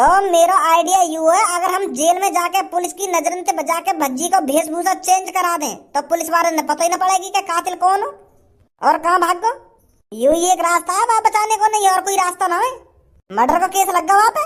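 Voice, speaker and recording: This cartoonish character voice moves at a fairly quick pace. Its pitch varies in an ordinary way. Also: woman, extremely high pitch for a woman. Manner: rambling, stammering, rustic.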